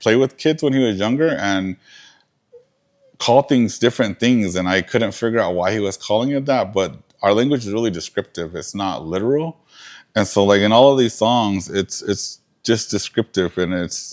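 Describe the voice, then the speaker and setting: In an American accent, a man with a fairly low pitch talks at a moderate pace with ordinary pitch variation, in a dry, close sound with no echo. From southern Arizona, Tohono O'odham Nation. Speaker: museum curator and lecturer. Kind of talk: lecture Q&A. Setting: museum lecture with audience. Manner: halting, many fillers.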